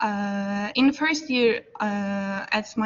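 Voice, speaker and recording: A woman talks very slowly in a fairly high pitch that varies in an ordinary way. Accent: non-native. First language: not English. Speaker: student. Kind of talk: class discussion. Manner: halting, many fillers.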